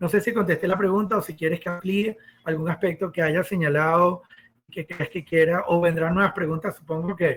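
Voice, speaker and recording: This man has a high pitch and fairly even intonation. He moves at a fairly quick pace. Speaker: architect and professor. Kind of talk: podcast interview. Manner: fast.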